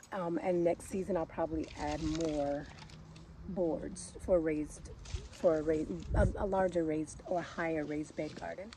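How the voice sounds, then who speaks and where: A woman speaks at a fairly slow pace. There is noticeable background noise, and the sound is dry with no echo. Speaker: gardening vlogger. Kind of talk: casual vlog chat. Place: garden. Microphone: phone near.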